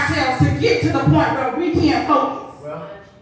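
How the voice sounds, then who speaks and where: In strong room echo with light background noise, a woman speaks at a moderate pace and a high pitch. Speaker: preacher. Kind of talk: sermon. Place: church. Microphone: camera far.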